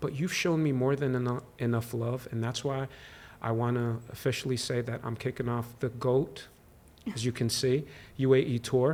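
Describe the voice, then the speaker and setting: A man at medium pitch and moderate pace, with fairly even intonation. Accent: Arabic. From UAE, Abu Dhabi. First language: Arabic. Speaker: actor. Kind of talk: interview.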